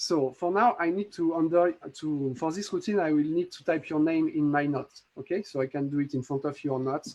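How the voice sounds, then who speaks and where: Fairly high in pitch with ordinary pitch variation, a man speaks at a fairly quick pace. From France. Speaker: magic app creator. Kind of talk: live demo tutorial. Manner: halting.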